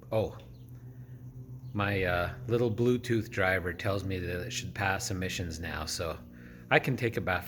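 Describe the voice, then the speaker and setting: A man talks at a fairly low pitch. Room echo can be heard. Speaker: DIY garage vlogger. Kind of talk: casual vlog narration. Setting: home garage.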